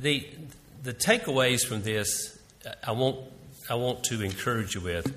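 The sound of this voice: A man speaks at a moderate pace with a bright, sharp tone, ordinary pitch variation and audible room echo.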